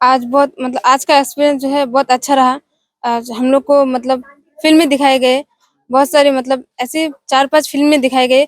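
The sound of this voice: Recorded dry and close with no echo, a woman speaks at a high pitch and a moderate pace, with little pitch movement.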